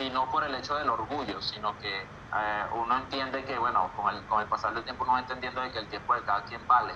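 With a Venezuelan accent, a man speaks at a fairly quick pace in a medium pitch, his intonation fairly even, against noticeable background noise. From Venezuela, Valles del Tuy (Miranda). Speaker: singer and music producer. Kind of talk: interview.

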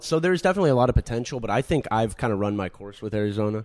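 Speaking at medium pitch, a man uses lively intonation. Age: 20s. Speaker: podcast co-host. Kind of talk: casual chat.

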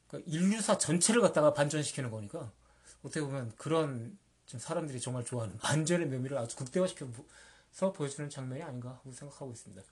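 This man talks at a very fast pace in a fairly high, somewhat breathy voice, with lively intonation and big swings in loudness. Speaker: podcast host, book reviewer. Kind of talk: casual chat about movies.

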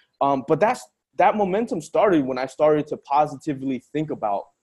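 A man talks in a normal speaking voice, keeping a moderate pace and ordinary pitch variation. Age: 20s. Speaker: podcast host. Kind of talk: casual interview.

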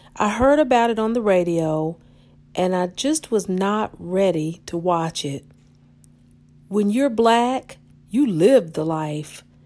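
In a very clean recording with a silent background, a woman with an American accent and a dark, mellow tone talks very slowly, leaving long, frequent pauses, her intonation lively. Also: medium pitch for a woman. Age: 50s. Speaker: podcast host. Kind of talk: personal monologue.

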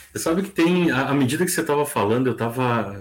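Using a normal speaking voice, a man talks at a moderate pace with lively intonation and a fairly high pitch. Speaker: radio broadcaster, human behaviour specialist. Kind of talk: casual chat.

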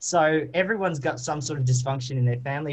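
This man speaks with an Australian accent. His voice is somewhat breathy. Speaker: musical theatre performer. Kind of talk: interview. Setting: remote call.

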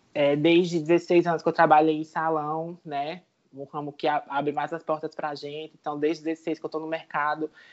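At a moderate pace, a woman with a very deep, low voice speaks in a monotone, flat way, her loudness swinging widely. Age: 30s. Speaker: journalism student, former salon worker. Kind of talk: panel discussion.

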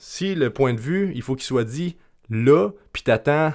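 A man's lively intonation in a Quebec accent, captured in a very clean recording with a silent background. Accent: Québécois French. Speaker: podcast host and life coach. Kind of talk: solo podcast monologue. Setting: at home. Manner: halting, with repetitions.

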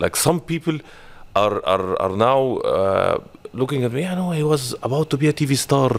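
A man with an Arabic accent and very wide pitch swings. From Egypt. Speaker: marketing manager, former TV and radio presenter. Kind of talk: interview.

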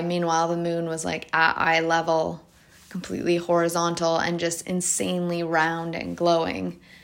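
A woman speaks at a fairly slow pace with a fairly low pitch. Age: 30s. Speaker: solo podcaster. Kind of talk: casual monologue. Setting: home recording, voice notes. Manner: hesitant, many fillers.

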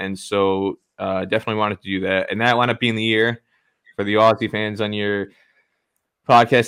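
A man with a fairly low pitch talks at a fairly quick pace in a New Jersey accent, recorded very cleanly against a silent background. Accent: New Jersey American. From US, New Jersey. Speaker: cricket journalist. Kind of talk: interview.

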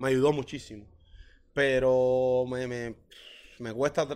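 Someone speaks very slowly in a Cuban accent. The recording is very clean, with a silent background. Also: man. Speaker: professional footballer and songwriter. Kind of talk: interview. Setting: hotel lobby.

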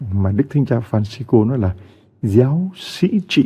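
A man speaks at a very slow pace, with very wide pitch swings. His tone is dark and mellow and somewhat breathy. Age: 60s. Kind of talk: sermon.

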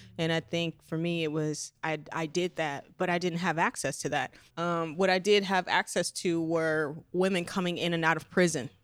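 A woman with an ordinary speaking voice and a fairly low pitch talks with hardly any pauses. Her intonation is fairly even, and the recording is very clean, with a silent background. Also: moderate pace. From Las Vegas, Nevada, US. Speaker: adult filmmaker and shop owner. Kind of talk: interview. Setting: in her shop.

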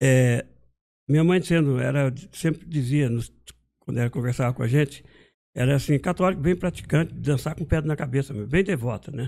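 A dark, mellow voice at a moderate pace with ordinary pitch variation, on a very clean recording with a silent background. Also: man, fairly high pitch for a man. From Brazil, Minas Gerais, raised in São Paulo state. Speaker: guitar maker and musician. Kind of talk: casual interview.

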